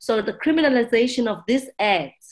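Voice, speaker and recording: A woman talks with a South African accent. Her pace is moderate and her intonation lively. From South Africa, township. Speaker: ship captain, maritime advocate. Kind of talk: interview answers, conversational. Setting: remote recording, video call.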